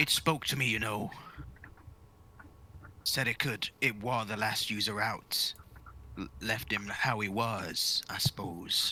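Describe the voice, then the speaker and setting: Using a put-on character voice at medium pitch, a man talks at a fairly slow pace with long, frequent pauses. Background noise is clearly present. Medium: actual play.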